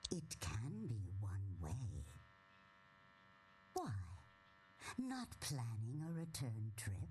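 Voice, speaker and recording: In a put-on character voice, the speaker talks low and very slowly, leaving long, frequent pauses over clear background noise. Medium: video game.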